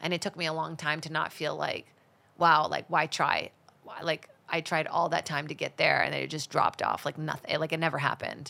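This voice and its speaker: A woman talks at a fairly quick pace in a very deep, low pitch. Her tone is bright and sharp, with vocal fry. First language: Portuguese. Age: 30s. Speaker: stand-up comedian and actress. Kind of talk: casual chat. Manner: animated, joking.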